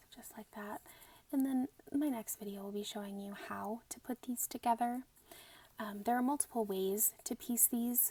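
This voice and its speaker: Soft-spoken, this voice moves at a moderate pace. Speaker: quilting instructor. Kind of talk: ASMR sewing tutorial.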